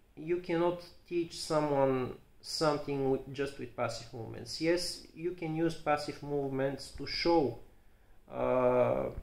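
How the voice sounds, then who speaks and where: With a Bulgarian accent, a man speaks at a fairly slow pace and fairly high pitch with fairly even intonation. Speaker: physiotherapist. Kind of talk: educational talk to camera. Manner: halting, many fillers and repetitions.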